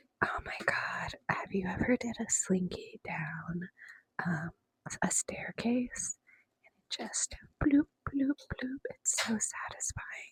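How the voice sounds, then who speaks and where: Whispering at a very slow pace. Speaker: ASMR creator. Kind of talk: ASMR.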